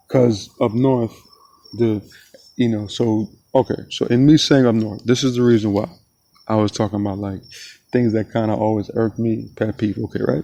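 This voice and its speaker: A man in a South Florida accent, fairly low in pitch with a dark, mellow tone, fairly even intonation, a moderate pace and long, frequent pauses. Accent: South Florida, Broward County. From South Florida (Broward County), Jamaican-born. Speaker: podcast host. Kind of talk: casual monologue. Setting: outdoors at sunset. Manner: relaxed, filler-heavy.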